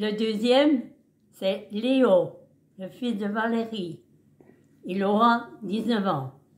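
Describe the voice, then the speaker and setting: This somewhat breathy voice moves very slowly, with ordinary pitch variation. Long pauses come often. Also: woman, fairly high pitch for a woman. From eastern France, Haute-Saône. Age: 90s. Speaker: great-grandmother interviewed by family. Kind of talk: casual family interview.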